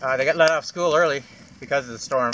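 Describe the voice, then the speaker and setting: Noticeable background noise behind a man with a medium-pitched voice. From Atlantic Canada (Maritimes, PEI). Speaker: beer reviewer and bushcraft vlogger. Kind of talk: casual vlog beer review. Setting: outdoors by a campfire. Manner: loud; fast. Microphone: far from the camera.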